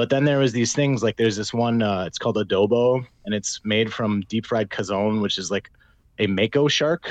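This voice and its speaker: In an American accent, an unremarkable speaking voice moves at a moderate pace with ordinary pitch variation over a quiet background. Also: man, fairly low pitch for a man. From Minnesota. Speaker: gin company sales director. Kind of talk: casual chat.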